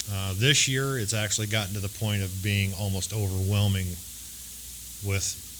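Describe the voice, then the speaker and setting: A man talks at a fairly low pitch with ordinary variation. Audible room echo and noticeable background noise surround him. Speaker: recovering alcoholic speaker. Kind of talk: testimony. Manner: hesitant, with frequent fillers.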